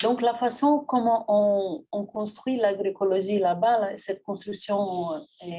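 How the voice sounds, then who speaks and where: A woman in a Portuguese accent, medium-pitched with a dark, mellow tone, ordinary pitch variation and a fairly slow pace. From Brazil. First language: Portuguese (speaking French). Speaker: agronomist, feminist NGO director. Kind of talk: panel talk. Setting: public event with live and online audience. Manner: hesitant, frequent fillers.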